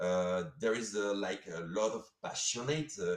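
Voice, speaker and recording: Speaking with a French accent, a man keeps a moderate pace and lively intonation. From France. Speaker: sponsor. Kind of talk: live stream interview. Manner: halting, many fillers.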